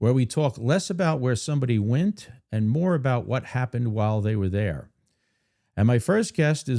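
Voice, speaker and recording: A man with an American accent speaks at a medium pitch, his dark, mellow tone carried by lively intonation. His pace is moderate and his loudness very even, on a very clean recording with a silent background. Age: 50s. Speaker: podcast host. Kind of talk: scripted introduction; casual interview chat.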